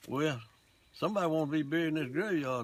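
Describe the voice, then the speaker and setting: A man at a very fast pace with lively intonation and an Alabama accent, amid noticeable background noise. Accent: Southern US (Alabama). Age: 80s+. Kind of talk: interview answer.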